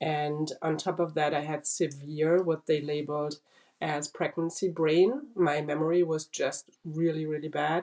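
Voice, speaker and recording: A woman with a German accent, a very deep, low pitch, a dark, mellow tone, monotone, flat intonation, and a fairly slow pace. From Germany. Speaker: brain cancer survivor. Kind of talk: interview testimony.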